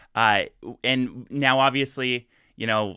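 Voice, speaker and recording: In a slight Canadian accent, a man speaks with fairly even intonation. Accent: slight Canadian 'eh'. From US. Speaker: interviewer, company host. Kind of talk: interview. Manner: halting, many fillers.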